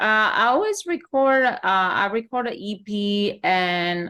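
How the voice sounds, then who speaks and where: The speaker has a French accent and ordinary pitch variation. The recording is very clean, with a silent background. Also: woman. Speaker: singer-songwriter. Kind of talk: interview.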